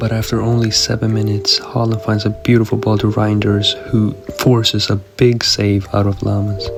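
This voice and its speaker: A monotone, flat delivery at a moderate pace, with music in the background. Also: man, fairly low pitch for a man. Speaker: gaming youtuber. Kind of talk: video game commentary. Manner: casual, conversational.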